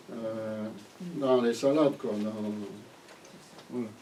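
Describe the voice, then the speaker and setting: A man with a Flemish accent, amid audible room echo and noticeable background noise. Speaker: gardening teacher. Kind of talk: lecture. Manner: halting.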